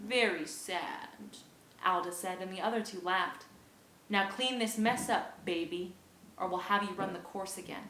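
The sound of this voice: An unforced reading voice is heard here.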